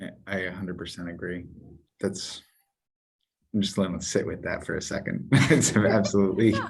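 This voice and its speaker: A man with a very deep, low voice and ordinary pitch variation speaks calmly at a fairly quick pace, with big swings in loudness, long and frequent pauses, and audible room echo. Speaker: entrepreneur. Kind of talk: casual chat.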